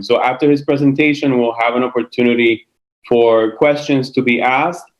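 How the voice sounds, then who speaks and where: Keeping a fairly even intonation, a man speaks at a medium pitch and a moderate pace. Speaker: school building committee chair. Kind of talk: public meeting opening remarks. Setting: video call. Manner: halting.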